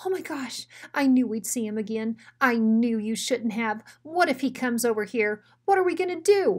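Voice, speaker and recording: Putting on a whiny character voice, a woman speaks in a high pitch at a moderate pace. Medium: read story. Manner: nervous, whiny, timid.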